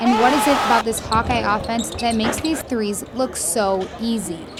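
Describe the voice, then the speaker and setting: There is noticeable background noise behind this woman. She talks at a moderate pace and a fairly high pitch. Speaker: sports reporter. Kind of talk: sports news report.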